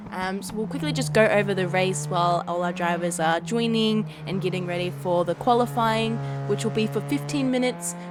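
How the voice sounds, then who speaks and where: A woman's fairly low voice at a fairly quick pace with hardly any pauses, ordinary pitch variation, noticeable background noise and audible room echo. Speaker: sim racing broadcast commentator. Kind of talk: live commentary. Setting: live stream.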